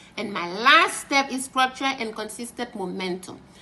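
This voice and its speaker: A woman with a fairly high voice talks at a moderate pace with lively intonation while noticeable background noise is heard. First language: French and Haitian Creole. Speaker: French tutor and translator. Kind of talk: tutor promo talk to camera.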